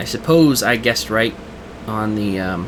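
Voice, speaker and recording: Man of medium pitch at a fairly slow pace, with noticeable background noise. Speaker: robotics team designer. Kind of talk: casual CAD work narration. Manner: hesitant, many filler sounds.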